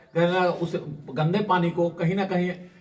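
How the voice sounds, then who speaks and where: Over noticeable background noise, a man speaks in a high pitch with monotone, flat intonation. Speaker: social worker. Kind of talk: interview.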